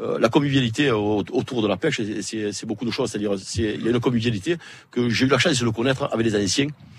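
At a very fast pace, a man speaks at medium pitch with ordinary pitch variation. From southern France, Sète. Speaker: fisherman. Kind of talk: live radio interview. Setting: outdoor broadcast in a fishermen's hut. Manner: halting, repeats words.

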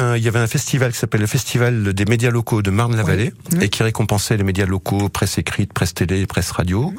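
Noticeable background noise sits behind a man speaking at a fairly quick pace. His pitch is fairly low, with ordinary pitch variation and very even loudness. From Clermont-Ferrand, France. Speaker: TV script supervisor and saxophonist. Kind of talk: radio interview.

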